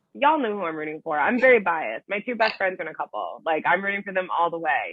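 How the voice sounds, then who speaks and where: A woman talks loudly and very fast in an American accent. Her tone is animated, with very wide pitch swings. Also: medium pitch for a woman. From Buffalo, New York, US. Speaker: reality TV contestant. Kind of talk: interview.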